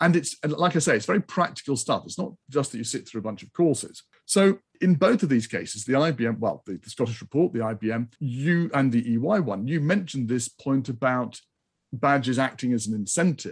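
A man speaks quickly, his somewhat breathy voice pitched in the middle range and moving with lively intonation. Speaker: podcast host. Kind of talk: interview conversation.

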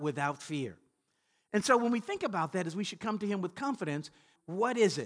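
A man with a Southern US accent talks at a fairly quick pace against a quiet background. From Louisiana, US South. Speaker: pastor. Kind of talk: sermon. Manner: repetitive stammering restarts.

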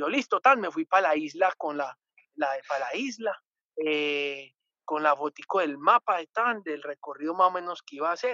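A man with lively intonation and a fairly high pitch talks at a moderate pace in an ordinary speaking voice. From Colombia, Antioquia. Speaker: adventurer and former TV presenter. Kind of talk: casual interview.

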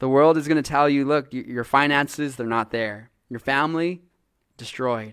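A man with an unremarkable speaking voice talks at a fairly slow pace, at a fairly high pitch with ordinary pitch variation. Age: 30s. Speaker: pastor. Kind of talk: sermon. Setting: church.

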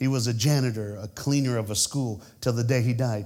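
Animated in tone, a man talks at a fairly quick pace with ordinary pitch variation. Audible room echo surrounds his voice. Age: 50s. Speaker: preacher. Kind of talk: sermon. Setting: church.

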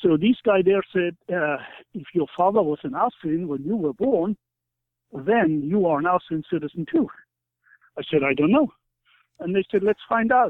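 A man with a German accent talks at a high pitch and a moderate pace. He leaves long, frequent pauses. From East Germany. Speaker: author. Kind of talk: interview.

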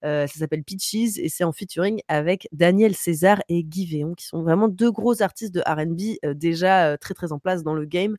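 A woman with an unremarkable speaking voice and a fairly low pitch talks at a moderate pace with hardly any pauses, in a dry, close sound with no echo. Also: ordinary pitch variation. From Paris. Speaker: streamer. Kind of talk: music review segment; casual chat. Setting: home streaming setup.

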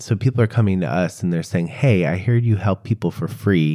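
Someone with an American accent talks at a fairly quick pace in a dark, mellow tone. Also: man. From US Midwest, Chicago. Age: 40s. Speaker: activist and author. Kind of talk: interview conversation. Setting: at home.

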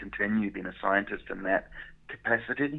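The speaker has a New Zealand accent and a moderate pace. The intonation stays fairly even. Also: man. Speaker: chocolate business owner, former scientist. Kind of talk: interview.

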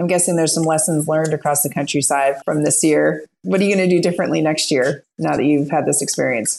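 A woman with a very deep, low pitch and vocal fry speaks at a very fast pace with hardly any pauses. Her loudness is very even, and her pitch variation is ordinary. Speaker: podcast co-host. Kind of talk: interview.

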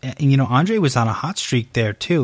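Speaking at a moderate pace with an American accent, a man has an ordinary speaking voice at a medium pitch, captured on a very clean recording with a silent background. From upstate New York. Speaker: podcast host, MMA interviewer. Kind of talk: casual interview; solo podcast announcements.

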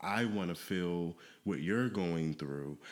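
In an American accent, a man speaks with a very deep, low pitch. The recording is very clean, with a silent background. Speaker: podcast host. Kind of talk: casual chat.

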